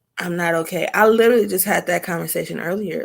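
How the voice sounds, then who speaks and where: The voice belongs to a woman and sits at a fairly low pitch. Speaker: talk show host. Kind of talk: casual conversation. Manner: slow.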